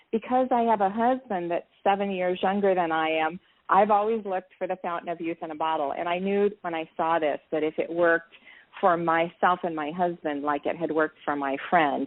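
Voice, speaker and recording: With an unremarkable speaking voice, a woman talks at a medium pitch and a fairly quick pace, with ordinary pitch variation. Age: 60s. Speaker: network marketing entrepreneur. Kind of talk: interview. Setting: live interview.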